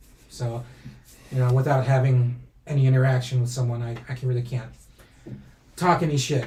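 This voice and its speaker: A man speaks at medium pitch in a dark, mellow, somewhat breathy tone with monotone, flat intonation. Long, frequent pauses break his speech, and audible room echo is present. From raised in US by American family, born in Mexico. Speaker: pro wrestling timekeeper. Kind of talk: casual interview chat. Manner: stuttering, halting.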